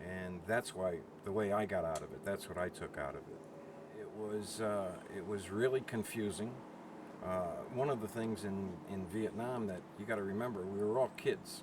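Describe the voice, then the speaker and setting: A man speaks in a fairly low voice. Noticeable background noise runs underneath. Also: ordinary pitch variation, moderate pace. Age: 70s. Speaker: Vietnam veteran. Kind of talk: interview. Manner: halting.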